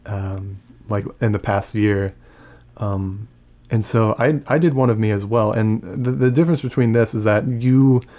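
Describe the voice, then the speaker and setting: A man's voice at a fairly slow pace, with ordinary pitch variation. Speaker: ASMR YouTuber, audio creator. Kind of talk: casual talk to camera, commentary about his channel. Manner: soft-spoken, relaxed.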